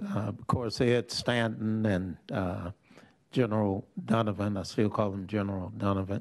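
A man with a fairly low pitch and an unremarkable speaking voice, at a moderate pace against a quiet background. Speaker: legislator. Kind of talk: legislative committee hearing. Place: hall. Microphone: podium.

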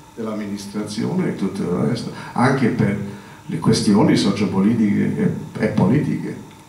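Audible room echo fills the recording. A man speaks at a fairly slow pace. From a Celtic country. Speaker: linguistics professor. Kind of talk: public talk at science café. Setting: live audience. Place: hall. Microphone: podium.

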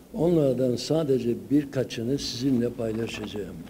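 A man talks at a very slow pace with ordinary pitch variation. Light background noise sits under his voice. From Sivas, Turkey; Turkey. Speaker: folklore professor. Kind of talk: conference lecture. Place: hall. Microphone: podium.

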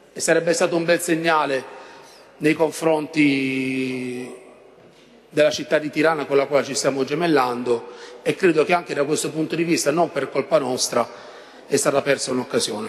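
With long, frequent pauses, a man talks at a moderate pace in a fairly high pitch with fairly even intonation. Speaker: opposition city councillor. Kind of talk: council debate speech. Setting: council chamber. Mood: earnest institutional appeal. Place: hall. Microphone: podium.

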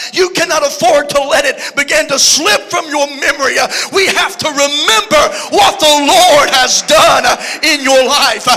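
An animated man with an American accent speaks in a raised, projected voice at an extremely high pitch, with ordinary pitch variation. His pace is fairly slow and his loudness very even. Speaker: preacher. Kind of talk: sermon. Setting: church. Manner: animated, preaching with call-and-response energy; conversational and joking. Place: church. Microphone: handheld.

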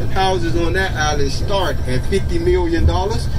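Noticeable background noise sits under the speech. The man keeps a moderate pace. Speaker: bus driver tour guide. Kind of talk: tour guide commentary. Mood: joking, friendly. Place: bus.

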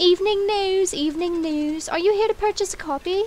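Using a put-on character voice, a woman speaks at an extremely high pitch and a moderate pace over clear background noise.

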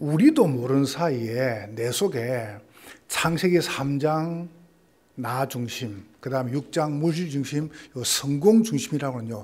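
A man with a Gyeongsang accent talks very slowly at a fairly high pitch with lively intonation. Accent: Gyeongsang Korean dialect. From Gyeongsang region, South Korea. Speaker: pastor. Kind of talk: sermon. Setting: church. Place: church. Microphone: podium.

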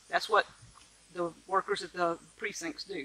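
A woman with a Mississippi accent speaks at a moderate pace and medium pitch. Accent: Southern US (Mississippi). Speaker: vlogger, homesteader. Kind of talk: casual vlog monologue. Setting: outdoors in the garden. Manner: animated.

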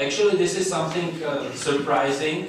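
Strong room echo on a man's voice, plus light background noise. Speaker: keynote conference speaker. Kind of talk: lecture. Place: hall.

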